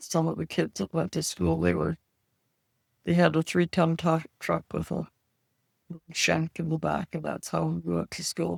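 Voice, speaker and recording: With a Canadian Prairie accent, a woman talks at a fairly slow pace in a dry, close recording with no echo. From rural Saskatchewan, Canada. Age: 80s+. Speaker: retired farm wife. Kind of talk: interview answer.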